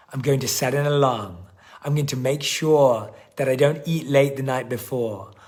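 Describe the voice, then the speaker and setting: A man speaks at a moderate pace with ordinary pitch variation, with audible room echo and noticeable background noise. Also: medium pitch for a man. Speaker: life coach. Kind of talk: live-stream coaching session. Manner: animated.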